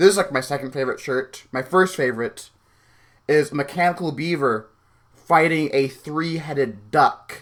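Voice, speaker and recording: A man with an American accent speaks at a moderate pace, his pitch varying in an ordinary way. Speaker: YouTuber. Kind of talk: accent tag word reading, casual.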